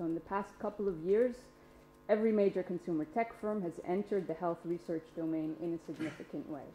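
A woman's fairly low, dark and mellow voice with ordinary pitch variation, audible room echo and light background noise. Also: fairly quick pace. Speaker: academic panelist; panelist. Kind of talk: conference panel talk. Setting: stage with audience. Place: meeting room. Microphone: podium.

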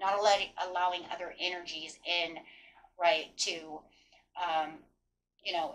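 A woman in an unremarkable speaking voice, fairly low in pitch, with fairly even intonation at a fairly slow pace. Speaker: tarot reader. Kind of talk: tarot reading commentary. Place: home room.

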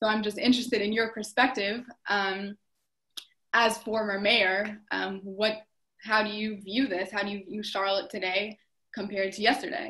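A woman with an American accent, fairly high in pitch, with a bright, sharp tone, fairly even intonation and a moderate pace. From US South. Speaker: dance student; panelist. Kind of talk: panel discussion; panel discussion question. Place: home room. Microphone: video call.

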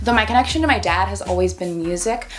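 Fairly low-pitched woman's voice over light background noise. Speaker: vlogger. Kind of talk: casual vlog chat. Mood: playful, reflective. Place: home room.

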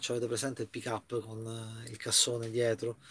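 A man speaks at a moderate pace. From Italy. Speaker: YouTuber. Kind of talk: casual vlog news commentary. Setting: inside a camper van. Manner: hesitant, filler-heavy. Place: home room. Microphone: webcam.

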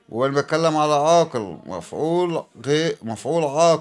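A man with a fairly high voice speaks at a fairly slow pace, his intonation fairly even. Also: very clean recording, silent background. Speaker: English teacher. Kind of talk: tutorial.

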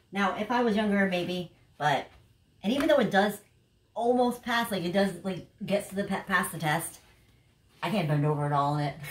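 A woman at a medium pitch with lively intonation, a moderate pace and long, frequent pauses, plus light background noise and audible room echo. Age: 40s. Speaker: YouTuber, clothing haul vlogger. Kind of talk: casual haul video monologue. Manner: animated. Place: home room. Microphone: camera far.

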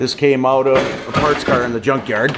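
Moderate pace from a man amid loud background noise. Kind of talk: casual narration of a repair. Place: garage. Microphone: phone near.

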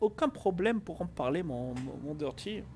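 A man's voice with light background noise. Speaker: Twitch streamer; streamer. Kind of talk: casual chat. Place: home room. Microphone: headset.

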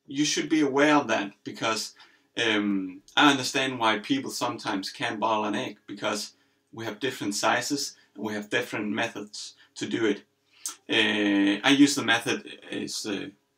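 In a quiet setting, a man delivers his words at a moderate speed. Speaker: home cook host. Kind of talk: tutorial. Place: kitchen.

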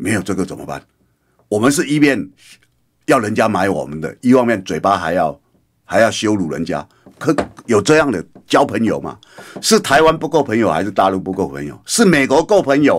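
A man's animated voice with vocal fry, very wide pitch swings, a moderate pace and long, frequent pauses over a quiet background. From Taiwan. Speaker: radio political commentator. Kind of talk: radio commentary monologue; radio commentary. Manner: frequent fillers. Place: studio. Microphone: studio mic.

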